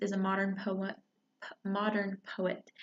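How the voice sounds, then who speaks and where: A woman speaks quietly at a medium pitch. Her pace is fairly slow. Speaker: book reviewer. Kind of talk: casual book talk. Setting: library. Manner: quiet, hushed; hesitant, many fillers.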